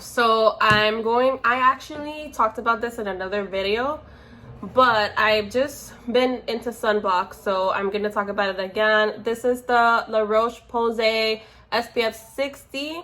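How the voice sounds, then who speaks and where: Speaking at a fairly slow pace, a woman uses an unremarkable speaking voice with fairly high pitch and ordinary pitch variation. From Miami, Florida (moved from New York at nine). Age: 20s. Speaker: beauty vlogger. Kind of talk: tutorial. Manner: casual, filler-heavy.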